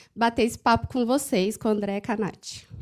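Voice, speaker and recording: Woman with a slight Minas Gerais accent, moderate pace, ordinary pitch variation, and a very clean recording with a silent background. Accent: slight Minas Gerais (mineiro) tinge. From Franca, interior of São Paulo state, Brazil. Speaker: HR compensation manager. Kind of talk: conference panel talk.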